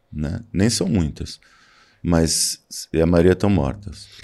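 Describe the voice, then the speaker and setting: A man speaks at a very slow pace. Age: 60s. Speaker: photographer. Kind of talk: interview.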